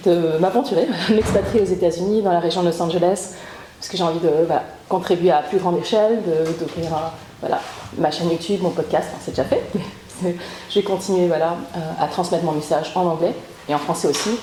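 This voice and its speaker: A woman's fairly low voice with fairly even intonation, a fairly quick pace broken by long, frequent pauses, noticeable background noise and audible room echo. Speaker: author and podcaster, trauma survivor. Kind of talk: interview testimony. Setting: training session with group. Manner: hesitant, many fillers.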